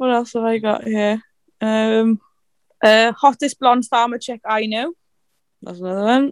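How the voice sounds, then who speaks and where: A woman with a fairly high pitch, a fairly slow pace, long and frequent pauses, and a dry, close sound with no echo. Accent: South Welsh. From South Wales, Carmarthenshire. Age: 20s. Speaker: farm worker and tractor driver. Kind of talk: casual chat.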